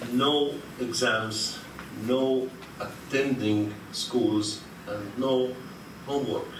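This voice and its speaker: A man with a non-native accent at a very slow pace, with fairly even intonation, audible room echo and noticeable background noise. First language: Arabic. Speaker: academic conference speaker. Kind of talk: conference talk. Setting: lecture hall with audience. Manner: halting, many fillers.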